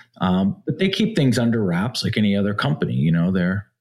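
A man with an unremarkable speaking voice talks at a fairly low pitch with lively intonation on a very clean recording with a silent background. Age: 40s. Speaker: blockchain startup founder. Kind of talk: interview.

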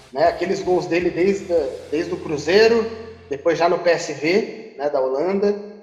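A man speaks at a high pitch and a fairly slow pace, with ordinary pitch variation. The recording has audible room echo and noticeable background noise. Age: 30s. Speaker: football podcast host. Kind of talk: casual chat.

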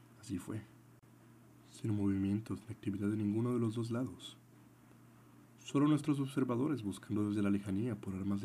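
Delivered at a fairly quick pace with long, frequent pauses, the voice has a dark, mellow, dramatic tone and ordinary pitch variation. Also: man. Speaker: podcast host and story narrator. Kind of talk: scripted dramatic narration, reading a soldier's diary aloud in first person. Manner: dramatic, earnest and patriotic, formal.

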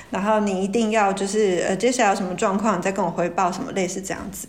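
A woman talks at a fairly quick pace, medium in pitch with fairly even intonation. The recording carries noticeable background noise and audible room echo. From Taiwan, Taoyuan. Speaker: marketing professional. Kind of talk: casual chat.

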